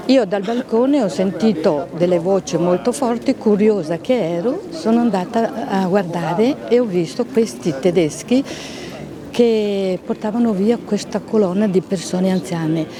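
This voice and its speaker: Over noticeable background noise, a woman talks at a fairly slow pace with lively intonation and very even loudness. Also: medium pitch for a woman. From Venice. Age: 80s+. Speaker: Holocaust eyewitness. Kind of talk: testimony.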